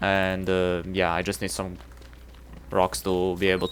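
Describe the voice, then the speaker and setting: With a Serbian accent, a man speaks at a fairly slow pace. His pitch is very deep and low. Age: 20s. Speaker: video game streamer. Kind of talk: casual live-stream chat.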